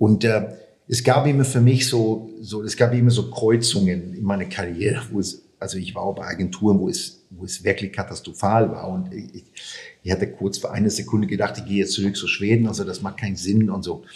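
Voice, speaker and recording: This man has a fairly low pitch, ordinary pitch variation, and a somewhat breathy voice. He talks at a fairly quick pace, with big swings in loudness. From Sweden. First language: Swedish (speaking German). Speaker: sports marketing expert. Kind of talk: interview. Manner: halting.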